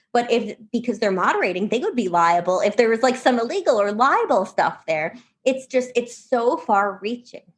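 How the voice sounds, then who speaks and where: A woman's fairly high voice, lively in intonation and animated in tone, with hardly any pauses. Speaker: think tank policy fellow. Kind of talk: podcast interview. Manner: fast.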